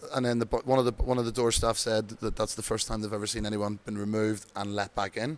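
A man's fairly low, monotone voice with flat intonation, at a very fast pace with hardly any pauses. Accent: Irish. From Ireland. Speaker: bingo host. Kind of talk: casual interview chat. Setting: town hall, live event.

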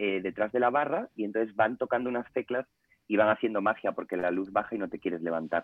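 Speaking with fairly even intonation, a man has an unremarkable speaking voice pitched fairly low. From Spain, Ponferrada (León). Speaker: food blogger. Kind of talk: casual chat.

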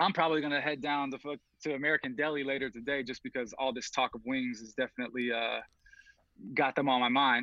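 A man speaks in an unremarkable speaking voice at a fairly quick pace with fairly even intonation. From Atlanta, US South. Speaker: music video director. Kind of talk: casual chat.

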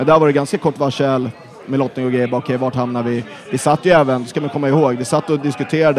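Noticeable background noise sits behind this man. He talks at a medium pitch with ordinary pitch variation. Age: 20s. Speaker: football supporter group organizer. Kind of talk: casual chat.

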